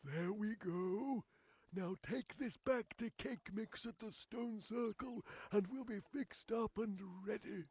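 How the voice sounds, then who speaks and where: A man puts on a high-pitched character voice at a fairly slow pace. The sound is dry and close, with no echo. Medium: video game. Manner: blunt, brisk.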